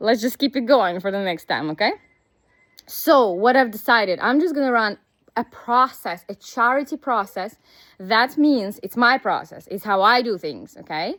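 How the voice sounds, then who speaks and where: A woman's fairly high voice with a Russian accent, lively intonation and a moderate pace. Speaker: business coach. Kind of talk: casual vlog monologue. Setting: outdoors, walking.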